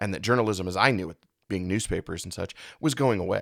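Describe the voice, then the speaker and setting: A man speaks with a very deep, low pitch. His pace is fairly quick. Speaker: podcast host. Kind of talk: podcast monologue. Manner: unscripted, one take.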